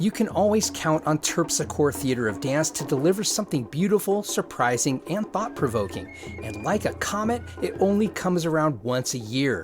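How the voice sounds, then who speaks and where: Music plays in the background as a man speaks at a moderate pace with hardly any pauses. His fairly high voice moves in very wide pitch swings. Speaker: podcast host. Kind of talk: radio-style event promo read.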